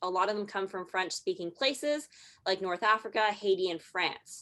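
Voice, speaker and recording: A woman with a Canadian accent and an ordinary speaking voice, lively intonation and a fairly quick pace, against a quiet background. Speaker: marketing strategist presenter. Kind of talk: presentation.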